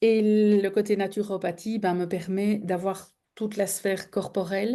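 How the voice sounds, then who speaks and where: Over a quiet background, a woman of medium pitch speaks in a flat monotone with a dark, mellow tone. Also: fairly slow pace. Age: 50s. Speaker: therapist. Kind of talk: online masterclass talk. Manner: hesitant, many fillers.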